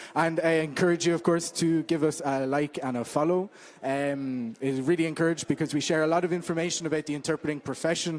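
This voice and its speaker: A man with an Irish accent, fairly high-pitched, very fast, fairly even in intonation, with hardly any pauses. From Ireland. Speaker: interpreter and social media manager. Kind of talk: event welcome talk. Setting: meeting room with live audience. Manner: hesitant with many fillers.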